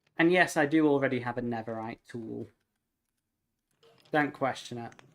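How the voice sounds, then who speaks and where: A British accent at a moderate pace. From UK. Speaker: gaming streamer. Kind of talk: live gameplay commentary. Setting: live stream. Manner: casual, chatty with hesitations.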